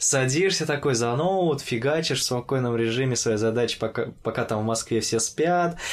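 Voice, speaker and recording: A man with an unremarkable speaking voice and medium pitch talks at a moderate pace with ordinary pitch variation, very even loudness, and hardly any pauses. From Orenburg, Russia. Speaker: podcast host. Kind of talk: casual interview chat.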